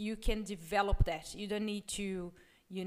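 Recorded very cleanly against a silent background, the speaker talks with a non-native accent. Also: woman. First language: not English. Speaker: business podcast co-host, former corporate employee. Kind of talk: casual chat.

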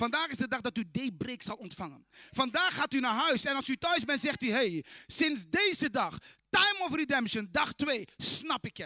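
The voice is raised and projected, animated in tone with lively intonation, moving at a moderate pace in a dry, close sound with no echo. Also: man, extremely high pitch for a man. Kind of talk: sermon. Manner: animated, fervent, proclaiming.

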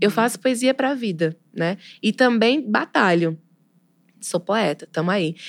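The sound is dry and close, with no echo, and the intonation is lively. Delivery is fairly slow, broken by long, frequent pauses. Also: woman, medium pitch for a woman. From Pernambuco, Brazil. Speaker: poet and literature teacher. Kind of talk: casual interview chat.

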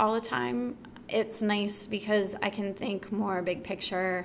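Bright and sharp in tone, a woman speaks with an American accent. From Texas, Dallas. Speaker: fitness studio owner and podcast host. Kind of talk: casual interview chat. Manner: casual, many fillers (like, um).

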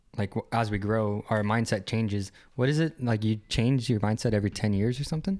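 A man with a normal speaking voice at medium pitch talks at a fairly quick pace, with very even loudness and ordinary pitch variation, on a very clean recording with a silent background. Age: 20s. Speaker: podcast co-host. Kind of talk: casual chat.

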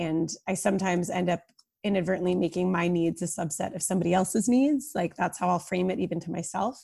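A woman speaks very fast in a medium pitch with ordinary pitch variation, her dark, mellow voice somewhat breathy, captured in a very clean recording with a silent background. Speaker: startup co-founder. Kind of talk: casual interview conversation.

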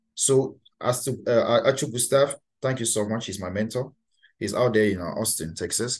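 A man talks in a Cameroonian accent. He moves at a fairly quick pace. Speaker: master of ceremonies and event host. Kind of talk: casual interview chat.

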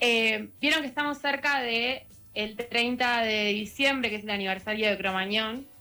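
A woman speaks at a fairly slow pace with a Rioplatense accent, her fairly high-pitched voice carrying a bright, sharp tone. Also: ordinary pitch variation. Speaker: radio book columnist. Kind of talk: radio book review segment.

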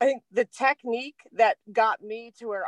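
A woman with an American accent speaks at a moderate pace and with fairly even intonation. The sound is dry and close with no echo, over a quiet background. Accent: Delaware accent, deepens at times. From Delaware, US. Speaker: spiritual podcast co-host. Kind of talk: casual spiritual chat. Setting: recording in a van in the cold.

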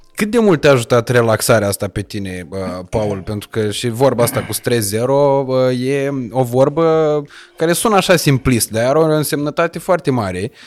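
At a moderate pace and medium pitch, a man with a normal speaking voice talks with lively intonation. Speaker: podcast host. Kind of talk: casual chat; scripted sponsor intro. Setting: penthouse set.

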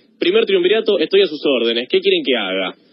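A man speaks with a Rioplatense accent. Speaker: history columnist. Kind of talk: radio biography segment.

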